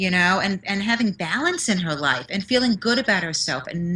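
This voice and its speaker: A woman speaks in a New York accent at a medium pitch. Her tone is bright and sharp, and her intonation is lively. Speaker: motivational speaker and confidence mentor. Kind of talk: interview.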